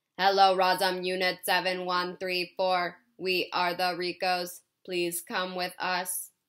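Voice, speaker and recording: Robotic and monotone, a female-sounding put-on character voice at a medium pitch speaks fairly slowly with flat intonation in a very clean recording with a silent background. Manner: flat, commanding.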